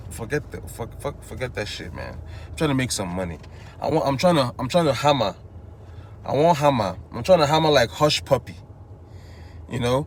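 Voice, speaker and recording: A man talks at a fairly quick pace, broken by long, frequent pauses. His pitch swings very widely, and his loudness rises and falls sharply. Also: medium pitch for a man. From Nigeria, Igbo, Enugu State. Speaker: vlogger. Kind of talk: casual monologue. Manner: casual, rambling with false starts.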